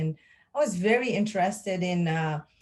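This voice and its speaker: A woman with a French accent talks at a moderate pace, fairly low in pitch and somewhat breathy. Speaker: pharmacist and lab executive. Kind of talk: interview. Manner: hesitant, many fillers.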